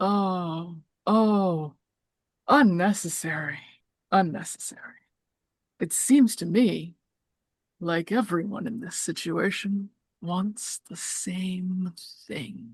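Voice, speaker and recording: In a put-on character voice that sounds female, the speaker uses a middle pitch, a very slow pace and long, frequent pauses. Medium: actual play. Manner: cryptic, teasing, creepy.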